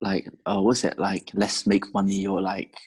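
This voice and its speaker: A man with a London accent, fairly low in pitch, with a dark, mellow tone. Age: 18 or 19. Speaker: podcast host. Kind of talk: casual chat.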